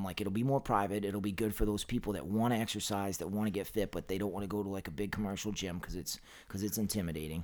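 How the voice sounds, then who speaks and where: Someone talks at a very fast pace with ordinary pitch variation on a very clean recording with a silent background. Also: man. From Maine, Lewiston area. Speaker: personal trainer and nutritionist. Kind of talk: casual chat.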